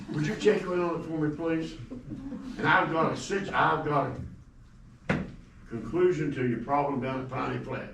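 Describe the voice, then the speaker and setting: A man's fairly high voice with an Appalachian accent, ordinary pitch variation and a moderate pace, broken by long, frequent pauses, with audible room echo and noticeable background noise. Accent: Appalachian US Southern. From East Tennessee. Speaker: resident speaking at public comment. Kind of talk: public comment.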